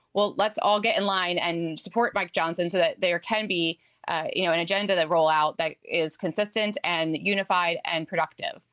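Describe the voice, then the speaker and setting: With a slight New Jersey accent, a woman speaks at a fairly low pitch with fairly even intonation, very even loudness and hardly any pauses, in a dry, close sound with no echo. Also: moderate pace. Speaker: political strategist. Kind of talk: TV news interview answer.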